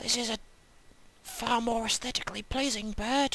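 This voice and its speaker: A woman whispers over noticeable background noise. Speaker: online video reviewer. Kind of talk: deadpan review. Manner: whispering; deadpan.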